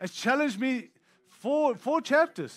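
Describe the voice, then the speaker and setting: Here a man speaks at an extremely high pitch with a bright, sharp tone. His pace is moderate, his pitch variation ordinary, and the recording very clean with a silent background. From Africa, later Australia. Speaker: guest preacher. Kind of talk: sermon.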